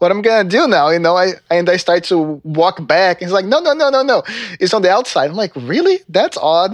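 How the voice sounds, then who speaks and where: A high-pitched man with a Brazilian accent, an animated tone and lively intonation. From Northeast Brazil. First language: Portuguese. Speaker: trumpet professor. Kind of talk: casual interview. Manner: animated, laughs often.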